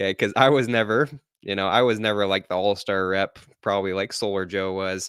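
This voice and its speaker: A man with an American accent talks at a fairly quick pace with a fairly low pitch. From Utah, small town (Kanab). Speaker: solar sales manager and podcast host. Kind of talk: livestream interview. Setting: livestream video call.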